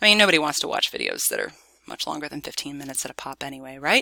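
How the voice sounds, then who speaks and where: Over a silent background in a very clean recording, a woman speaks very fast with a very deep, low pitch, a bright, sharp tone and ordinary pitch variation. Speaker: professor. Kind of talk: lecture. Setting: screen recording.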